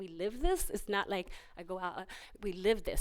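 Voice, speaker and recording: A woman with a Spanish accent and very wide pitch swings, on a very clean recording with a silent background. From US Northeast, Pennsylvania, Puerto Rican family. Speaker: cultural group leader, honoree. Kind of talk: press conference speech.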